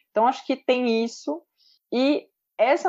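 A woman's dark, mellow tone with ordinary pitch variation over a quiet background. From interior of São Paulo state, Brazil (Pedreira). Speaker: sports content creator. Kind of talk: casual chat.

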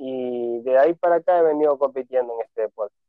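The man speaks with fairly even intonation. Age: 30s. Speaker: bodybuilder and personal trainer. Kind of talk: interview. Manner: halting.

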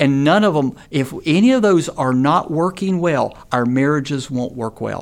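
Speaking at a moderate pace with an American accent, a man uses an ordinary speaking voice with a fairly high pitch. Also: lively intonation. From North Carolina. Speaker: seminary professor. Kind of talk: casual interview.

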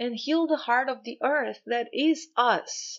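With a Portuguese accent, a woman talks in a high pitch. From Brazil. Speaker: spiritual coach and podcaster. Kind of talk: spiritual talk.

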